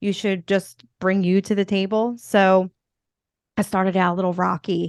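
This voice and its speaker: A woman with a Philadelphia accent talks at a moderate pace and medium pitch with fairly even intonation. The sound is dry and close with no echo, over a quiet background. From US Northeast, Philadelphia. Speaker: podcast host and motivational speaker. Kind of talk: interview conversation. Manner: casual, filler-heavy.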